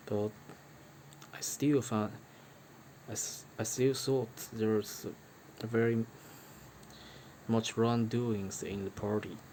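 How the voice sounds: A man speaks slowly at a fairly low pitch, his dark, mellow tone kept to fairly even intonation and broken by long, frequent pauses.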